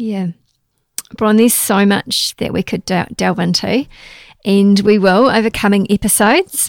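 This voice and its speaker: A woman with a New Zealand accent, medium-pitched and fairly even in intonation, at a fairly slow pace with long, frequent pauses and a dry, close sound with no echo. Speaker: podcast host. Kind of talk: casual interview chat.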